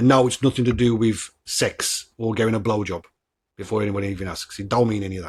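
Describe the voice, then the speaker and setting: His voice has a somewhat breathy quality. The man moves along at a fairly quick pace. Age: 40s. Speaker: podcast host. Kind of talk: casual chat. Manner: animated.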